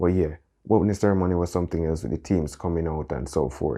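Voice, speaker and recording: A man talks at a very fast pace in a very deep, low voice with vocal fry. His pitch variation is ordinary. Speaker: vlogger. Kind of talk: casual vlog monologue. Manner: fast, animated.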